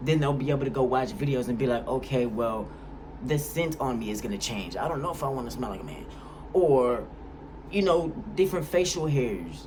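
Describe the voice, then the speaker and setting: A man speaks in an animated tone with lively intonation at a fairly quick pace. Audible room echo surrounds his voice. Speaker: YouTuber. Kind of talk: vlog monologue. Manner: casual, animated.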